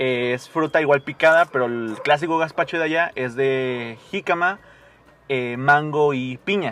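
Delivered at a fairly slow pace, an ordinary speaking voice carries ordinary pitch variation. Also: man, fairly high pitch for a man. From Mexico, Morelia, Michoacán. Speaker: podcast guest. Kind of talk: casual chat.

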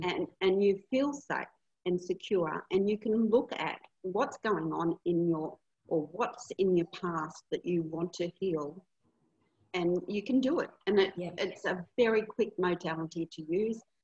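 A woman with an Australian accent speaks at a medium pitch and a fairly slow pace, with ordinary pitch variation and a dry, close sound with no echo. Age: 60s. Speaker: hypnotherapist and retreat facilitator. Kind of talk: casual interview.

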